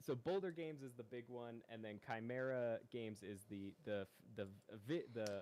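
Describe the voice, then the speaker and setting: Here a man with an ordinary speaking voice talks at a moderate pace, with medium pitch and ordinary pitch variation. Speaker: game developer. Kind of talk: casual chat. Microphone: too quiet, condenser mic.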